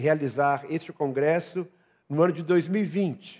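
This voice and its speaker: On a very clean recording with a silent background, a man with a fairly high pitch speaks at a moderate pace with fairly even intonation. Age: 60s. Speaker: pastor. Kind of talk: sermon. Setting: church.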